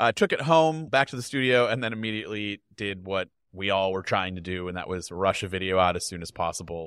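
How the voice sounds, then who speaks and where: At a fairly quick pace, a man with a fairly low pitch and an ordinary speaking voice talks with ordinary pitch variation in a dry, close sound with no echo. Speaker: tech video creator. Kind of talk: casual chat.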